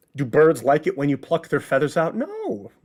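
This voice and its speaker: In a Chicago accent, a man talks at a moderate pace with very wide pitch swings. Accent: Chicago accent, says get like git. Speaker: lecturer on theater history.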